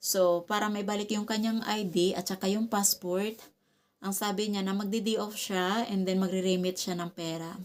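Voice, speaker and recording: In a very clean recording with a silent background, a woman speaks in a flat monotone. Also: medium pitch for a woman, moderate pace. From Visayas, Philippines. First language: Cebuano (Bisaya) (speaking Tagalog). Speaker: vlogger. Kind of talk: casual vlog talk to camera. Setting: at home.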